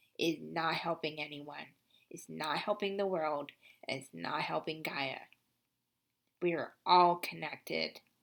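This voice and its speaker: A woman with a very deep, low pitch and vocal fry speaks at a fairly slow pace with long, frequent pauses, fairly even intonation and big swings in loudness, on a very clean recording with a silent background. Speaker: spiritual card reader. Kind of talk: card reading monologue.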